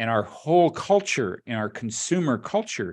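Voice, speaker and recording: In a quiet background, a normal speaking voice proceeds at a moderate pace with ordinary pitch variation. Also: man. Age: 60s. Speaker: leadership development specialist and podcast host. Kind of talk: casual chat.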